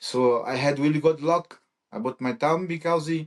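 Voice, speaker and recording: With a Brazilian Portuguese accent, a man talks at a fairly high pitch against a quiet background. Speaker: MMA fighter. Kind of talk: interview. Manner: halting.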